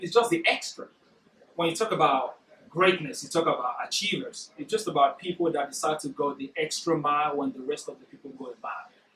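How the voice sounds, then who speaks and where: A man with a non-native accent speaks at a very fast pace. His high-pitched voice carries lively intonation. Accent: foreign. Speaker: workshop speaker. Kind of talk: motivational talk. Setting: corporate workshop room. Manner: naturally fast speaker.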